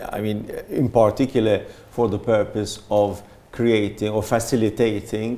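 A man speaks at a moderate pace with a fairly low pitch, a dark, mellow tone and monotone, flat intonation. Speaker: panelist. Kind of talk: panel discussion answer.

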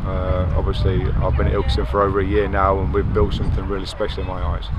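A low-voiced man speaks fast in a monotone, flat intonation. Loud background noise runs behind him.

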